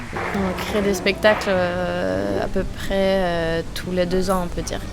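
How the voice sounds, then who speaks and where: A woman speaks very slowly while noticeable background noise and audible room echo surround her. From Sweden. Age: 30s. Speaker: circus artist. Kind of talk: interview.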